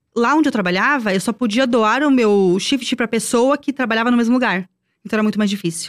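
A woman's fairly high voice, a plain, everyday voice, at a fairly quick pace, with very even loudness and ordinary pitch variation, in a dry, close sound with no echo, on a very clean recording with a silent background. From Brazil. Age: 30s. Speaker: former theme park worker. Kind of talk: casual chat.

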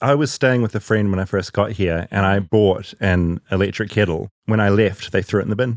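With a New Zealand accent, a man talks at a fairly quick pace with hardly any pauses, using a fairly low pitch, fairly even intonation and very even loudness, in a dry, close sound with no echo and a very clean recording with a silent background. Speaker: podcast host. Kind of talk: casual chat; scripted narration.

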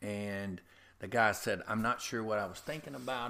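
Speaking in a Louisiana accent, a man talks at a fairly quick pace, his fairly low voice bright and sharp in tone. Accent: US Southern (Louisiana). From Louisiana, north of Covington. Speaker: head groundskeeper. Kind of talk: interview. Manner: halting.

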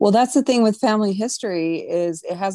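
Dry and close with no echo, a woman's dark, mellow voice moves at a fairly quick pace with lively intonation. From US, Mexican American. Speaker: artist. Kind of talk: casual chat.

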